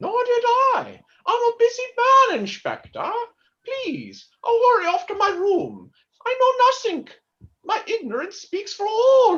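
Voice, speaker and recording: Putting on a character voice, a woman talks at a moderate pace with an extremely high pitch, ordinary pitch variation, and long, frequent pauses. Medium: stage play.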